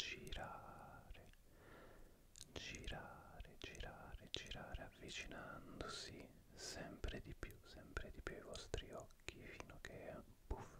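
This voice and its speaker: A man whispers, going very slowly. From Italy. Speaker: ASMR content creator. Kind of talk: ASMR visual trigger session. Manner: soft-spoken, slow. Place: home room. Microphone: studio mic.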